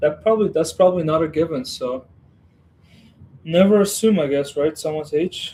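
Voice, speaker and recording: A man speaks in a dark, mellow, relaxed tone that is somewhat breathy, with ordinary pitch variation. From western Ukraine. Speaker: Lego streamer. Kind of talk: casual livestream chat. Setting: home Lego room. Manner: relaxed, hesitant with fillers.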